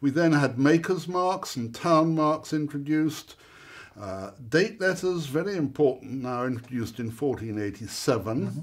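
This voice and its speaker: Using a plain, everyday voice, a man speaks at a moderate pace with fairly high pitch and lively intonation. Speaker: silver antiques expert. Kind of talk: expert explaining hallmarks in a masterclass. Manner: wry, humorous, conversational.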